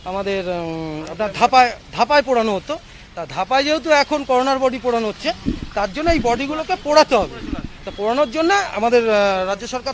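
Over light background noise, a man speaks at an extremely high pitch in a dry sound with no echo. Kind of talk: interview answer. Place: street. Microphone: handheld.

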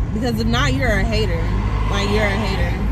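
Loud background noise surrounds a woman talking at a fairly quick pace. The sound itself is dry, with no echo. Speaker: vlogger. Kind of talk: casual vlog chat. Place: car.

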